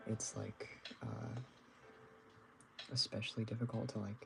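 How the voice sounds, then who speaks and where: Quiet and monotone, a man talks with flat intonation at a fairly low pitch. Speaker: artist livestreamer. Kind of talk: casual livestream chat while drawing. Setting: livestream from bedroom. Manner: quiet at start of stream; hesitant, many fillers.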